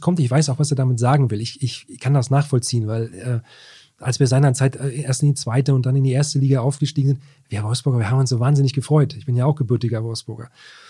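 A man talks at a very fast pace with a dark, mellow tone and a somewhat breathy quality. His intonation is fairly even, in a very clean recording with a silent background. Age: 40s. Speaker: sports journalist. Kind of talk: casual chat. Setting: newsroom.

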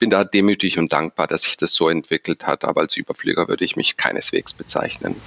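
A man at a very fast pace with hardly any pauses. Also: dry, close sound with no echo. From Stuttgart, Swabia, southern Germany. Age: 40s. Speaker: bank executive. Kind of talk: interview.

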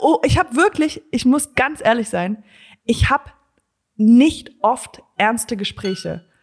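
The speaker talks at a very slow pace with lively intonation. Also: woman, high pitch for a woman. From Germany and USA (bilingual). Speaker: comedian. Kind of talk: casual chat. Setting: video call from home office.

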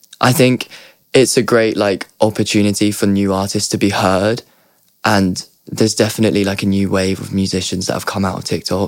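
Speaking at a moderate pace, a man with a southern English accent uses a fairly low pitch. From Surrey, southern England. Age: young. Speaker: singer-songwriter. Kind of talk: casual chat. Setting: studio.

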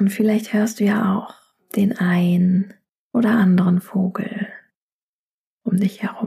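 A woman's medium-pitched, dark, mellow voice, soothing and calm, somewhat breathy, with monotone, flat intonation, a very slow pace and long, frequent pauses. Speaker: yoga teacher and meditation guide. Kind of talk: guided meditation. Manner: slow, soothing, calm; soft-spoken, gentle.

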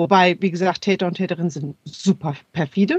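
A woman's somewhat breathy, medium-pitched voice comes through with a dry, close sound and no echo. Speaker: sex therapist and cultural scientist. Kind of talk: expert interview.

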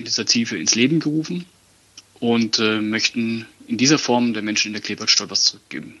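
The pitch moves in an ordinary way. The pace is fairly quick. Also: man. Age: 20s. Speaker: football ultra fan, community initiative organiser. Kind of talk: interview. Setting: phone call. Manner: halting, many fillers.

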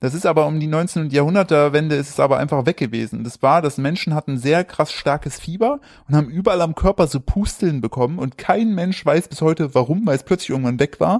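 An unremarkable speaking voice from a man, fairly high in pitch with ordinary pitch variation, at a fairly quick pace with hardly any pauses, in a dry, close sound with no echo. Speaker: podcast host. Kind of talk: casual chat.

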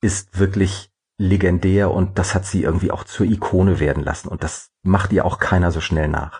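Very deep and low, a man's somewhat breathy voice moves at a moderate pace. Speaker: former theater director and actor. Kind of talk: interview. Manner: hesitant with frequent fillers.

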